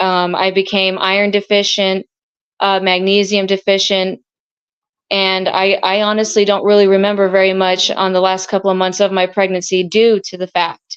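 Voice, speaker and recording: A woman's medium-pitched, monotone voice at a moderate pace. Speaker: epilepsy patient sharing her story. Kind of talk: testimony.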